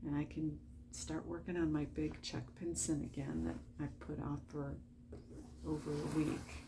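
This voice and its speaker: Soft-spoken, a woman talks at a fairly slow pace. Audible room echo surrounds her voice. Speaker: diamond painting hobbyist vlogger. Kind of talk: casual late-night craft vlog. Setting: at home at night. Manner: quiet, soft-spoken; chatty, filler-heavy.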